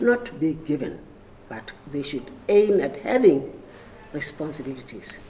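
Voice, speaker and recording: In a room with audible echo and noticeable background noise, a woman with a Lesotho accent speaks fairly slowly in a very deep, low pitch, with very wide pitch swings and big swings in loudness. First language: Sesotho. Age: 80s+. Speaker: retired civil servant and activist. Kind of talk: roundtable speech. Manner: halting.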